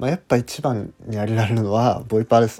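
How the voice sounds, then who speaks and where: A man at medium pitch speaks in a dark, mellow tone, the sound dry and close with no echo. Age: 20s. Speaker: podcaster. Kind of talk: casual monologue.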